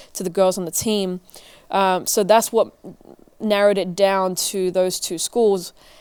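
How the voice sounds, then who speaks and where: Dark, mellow tone from a woman. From England, north London. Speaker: assistant strength coach, former college tennis player. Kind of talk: interview.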